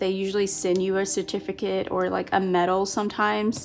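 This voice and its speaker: Moderate pace over noticeable background noise. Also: woman. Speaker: planner hobby youtuber. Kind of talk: crafting tutorial, casual talk to viewers. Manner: loud, may seem shouting.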